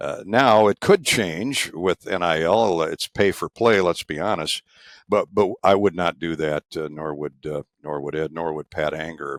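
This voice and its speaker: Recorded very cleanly against a silent background, with a dry, close sound and no echo, a man with a Midwestern US accent speaks fairly slowly in a very deep, low voice, his pitch varying in an ordinary way. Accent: US Midwest. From Eastern Iowa. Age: 70s. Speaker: sports play-by-play broadcaster. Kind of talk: oral history interview. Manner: halting with many fillers.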